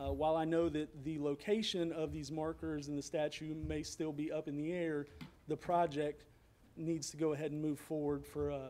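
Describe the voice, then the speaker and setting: A man with a Tennessee accent, fairly high pitch, dark, mellow tone, moderate pace and monotone, flat intonation. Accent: US Southern (Tennessee). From Franklin, Tennessee. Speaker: citizen speaker at public comment, military veteran. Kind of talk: public comment speech. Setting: city council meeting, speaking from podium.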